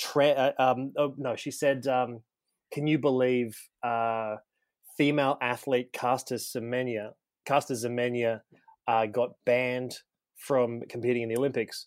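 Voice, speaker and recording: The recording is very clean, with a silent background. A man with an Australian accent speaks fairly slowly at medium pitch in a monotone, flat intonation. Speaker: comedian. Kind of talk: storytelling.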